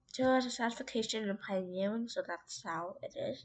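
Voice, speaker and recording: Somewhat breathy speech from a woman, fairly high in pitch, with ordinary pitch variation. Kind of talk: informal school-style presentation narration. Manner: hesitant, casual.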